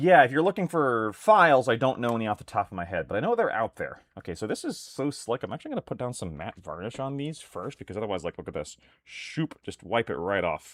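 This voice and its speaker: A loud man with vocal fry talks at a very fast pace with hardly any pauses, at medium pitch with very wide pitch swings. The sound is dry and close with no echo, in a very clean recording with a silent background. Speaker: miniatures hobby streamer. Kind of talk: casual live stream chat while painting. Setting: live stream with webcam.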